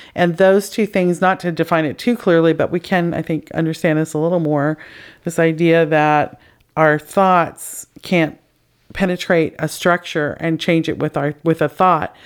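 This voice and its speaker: In a very clean recording with a silent background, a woman uses a normal speaking voice, fairly low in pitch, at a moderate pace with fairly even intonation. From Canada. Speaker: podcast host. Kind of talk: casual interview conversation.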